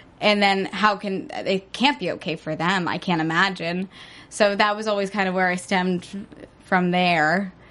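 Against a quiet background, a woman speaks in a plain, everyday voice at a moderate pace and a medium pitch, with ordinary pitch variation. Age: 20s. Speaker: young novelist and aspiring actress. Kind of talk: casual interview. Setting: studio.

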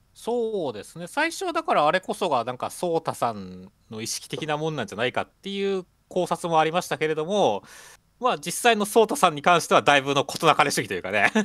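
Speech comes at a fairly quick pace. The background is silent in this very clean recording. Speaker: podcast co-host. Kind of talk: casual chat reviewing a manga. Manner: casual, relaxed.

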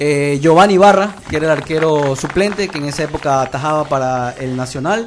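Noticeable background noise runs under a man's fairly high-pitched voice. He speaks at a fairly quick pace with ordinary pitch variation. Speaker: sports journalist. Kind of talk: casual chat.

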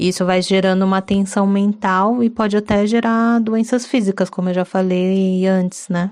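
Against a quiet background, a woman of medium pitch speaks with hardly any pauses. Her delivery is monotone and flat, with very even loudness. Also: moderate pace. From São Paulo city, Brazil. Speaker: podcast co-host. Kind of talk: casual chat.

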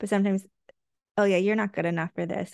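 The sound is dry and close, with no echo. The delivery comes in an American accent with monotone, flat intonation. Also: woman. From USA, Korean American family. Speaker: physician and dermatology professor. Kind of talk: casual interview. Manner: hesitant, many fillers.

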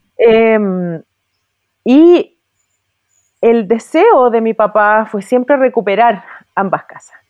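In a Chilean accent, a woman speaks at a very slow pace with long, frequent pauses. Her pitch is fairly high with ordinary variation, and her loudness swings widely. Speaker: businesswoman and horse breeder. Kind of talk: casual interview conversation.

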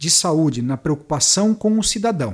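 Against a silent background on a very clean recording, a man with a plain, everyday voice and fairly high pitch speaks at a moderate pace with lively intonation. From western Santa Catarina, Brazil. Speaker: municipal health director and pharmacist. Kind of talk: interview.

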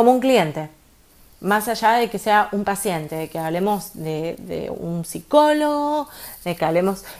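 Very wide pitch swings in a woman's voice of medium pitch. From Argentina. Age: 30s. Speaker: podcast host, entrepreneur coach. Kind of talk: casual monologue with advice.

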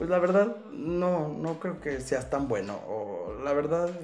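Music in the background and audible room echo accompany an animated voice with a Mexican accent moving at a fairly slow pace. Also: man. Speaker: podcast host. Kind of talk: casual chat.

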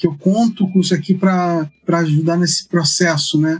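Fairly even intonation marks this man's voice, which is high in pitch. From Rio de Janeiro, Brazil. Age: 50s. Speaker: anthropologist and church researcher. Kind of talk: interview conversation. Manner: hesitant, many fillers.

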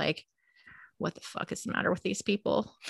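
With a Californian accent and a bright, sharp tone, a woman speaks in a dry, close sound with no echo against a quiet background. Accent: California. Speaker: podcast co-host; teacher. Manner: casual, animated, frequent swearing.

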